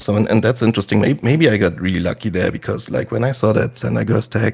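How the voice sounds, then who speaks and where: Very fast and with vocal fry, a man delivers his lines. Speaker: podcast host. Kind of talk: casual podcast conversation.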